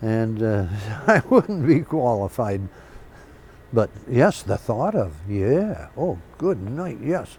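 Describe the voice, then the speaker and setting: A man at medium pitch, somewhat breathy, very slow, with long, frequent pauses and very wide pitch swings. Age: 80s+. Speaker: Korean War veteran pilot. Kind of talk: oral history interview. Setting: museum.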